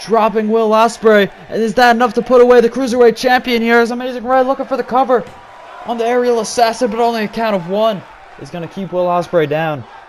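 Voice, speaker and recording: Amid noticeable background noise, a man talks at a very fast pace in an extremely high pitch with ordinary pitch variation. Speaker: video game commentator. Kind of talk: live commentary.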